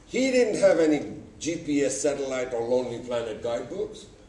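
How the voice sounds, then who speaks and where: A man talks at a moderate pace and medium pitch, his pitch swinging very widely. Audible room echo and noticeable background noise fill the recording. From Uganda. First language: Gujarati. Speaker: public speaker, writer. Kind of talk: conference talk. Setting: stage with audience.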